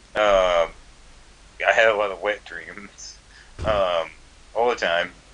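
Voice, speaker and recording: A man talking at a very slow pace. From US South, Georgia. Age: 20s. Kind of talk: casual chat.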